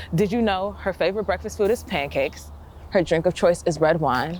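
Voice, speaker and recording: A woman's fairly low voice in an American accent, with vocal fry, fairly even intonation and a fairly quick pace. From Chicago. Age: 20s. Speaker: poet and activist. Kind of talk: spoken word poetry performance.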